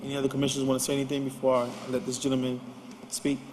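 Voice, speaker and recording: There is noticeable background noise as a man speaks with monotone, flat intonation. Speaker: city commission chair. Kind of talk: public meeting debate. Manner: soft-spoken.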